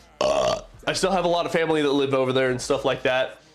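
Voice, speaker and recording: A man with an American accent talks at a very fast pace in a fairly high pitch, his intonation fairly even, with noticeable background noise behind him. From Japan. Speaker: streamer. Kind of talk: casual chat. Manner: halting.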